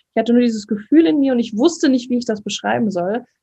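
A woman with a fairly high pitch, a dark, mellow tone and lively intonation sounds somewhat breathy, the recording dry and close with no echo. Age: 20s. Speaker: holistic coach and fitness trainer. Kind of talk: podcast interview.

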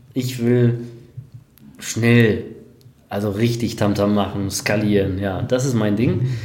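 Over noticeable background noise and audible room echo, a man at medium pitch talks very slowly in a monotone, flat intonation, with long, frequent pauses. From Germany, Sauerland and Hamm (Westphalia). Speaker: online marketer. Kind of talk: interview. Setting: office, livestream.

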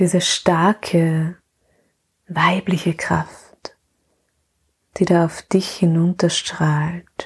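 Pausing long and often, a woman with fairly low pitch speaks at a very slow pace in a calm, gentle tone with monotone, flat intonation. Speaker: podcast host and mothers' coach. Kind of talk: guided meditation; welcome and intro, then guided meditation. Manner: slow, soft and soothing, with long pauses; calm, gentle, warm.

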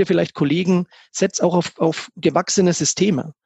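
A man with a high voice keeps a fairly even intonation at a moderate pace. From Upper Franconia, Germany (Kronach area). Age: 40s. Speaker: financial advisor and business owner. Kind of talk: podcast interview.

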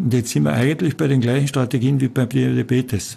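A man with a Carinthian accent speaks at a moderate pace. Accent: Carinthian Austrian German. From Austria, Carinthia. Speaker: physician. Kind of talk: interview.

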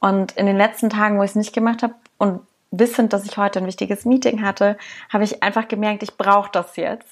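This woman has a fairly high pitch. She speaks very fast. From Saxony, near Dresden. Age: 30s. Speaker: podcast co-host. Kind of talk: casual chat.

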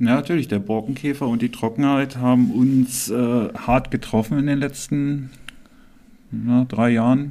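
The tone is dark and mellow, delivered at a fairly slow pace with fairly even intonation. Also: man, medium pitch for a man. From Germany, Harz (Clausthal-Zellerfeld). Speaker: local politician and podcast co-host. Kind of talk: casual chat.

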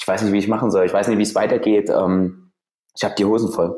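A man's fairly low, dark, mellow voice comes through on a very clean recording with a silent background. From Saxony, Germany (Freiberg). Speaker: business founder coach. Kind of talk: podcast interview.

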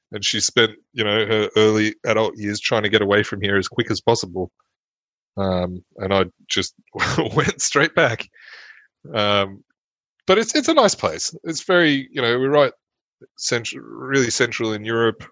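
The speaker, in an Australian accent, leaves long, frequent pauses. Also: man, medium pitch for a man, ordinary pitch variation, moderate pace. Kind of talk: casual chat.

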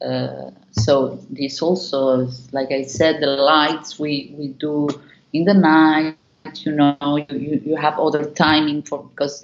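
Fairly slowly, a woman speaks with a Spanish accent. Her voice is very deep and low, with fairly even intonation. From Argentina. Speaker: dance company artistic director. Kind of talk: interview. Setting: video call. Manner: halting.

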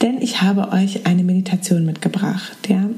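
Through noticeable background noise, the voice moves at a fairly slow pace in a soothing, calm tone. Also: woman. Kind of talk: guided meditation. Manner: soft-spoken, slow and soothing; calm, with gentle pauses.

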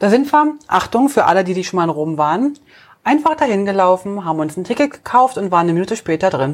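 Very fast speech swings very widely in pitch. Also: woman, medium pitch for a woman. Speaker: travel podcast co-host. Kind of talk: casual chat.

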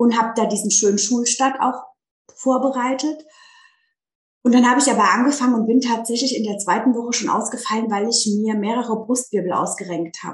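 A fairly high-pitched woman's voice, an ordinary speaking voice, with fairly even intonation and a fairly quick pace. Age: 30s. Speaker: teacher turning life coach. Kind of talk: casual interview chat.

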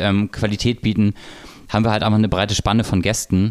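Monotone, flat intonation delivered at a very fast pace. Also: man. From North Frisia, northern Germany. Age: 30s. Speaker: hotel director. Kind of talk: casual chat. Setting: studio.

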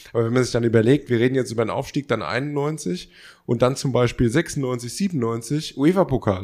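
Recorded very cleanly with a silent background, a man talks at a moderate pace and medium pitch in an ordinary speaking voice with ordinary pitch variation. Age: 30s. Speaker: podcast co-host. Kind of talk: casual chat.

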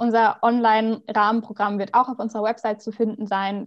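In a plain, everyday voice, a woman talks fairly quickly at a fairly high pitch, her intonation fairly even. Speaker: youth environmental activist. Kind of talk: interview. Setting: remote recording.

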